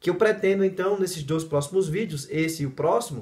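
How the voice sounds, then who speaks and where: Fairly quick in pace, a man speaks in a high voice with ordinary pitch variation. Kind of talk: video monologue.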